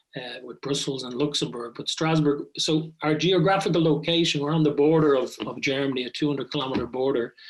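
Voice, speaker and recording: With an Irish accent, a man talks at a fairly quick pace with hardly any pauses. His pitch is fairly high and his intonation fairly even. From Ireland, Dublin. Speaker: business school professor. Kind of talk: podcast interview.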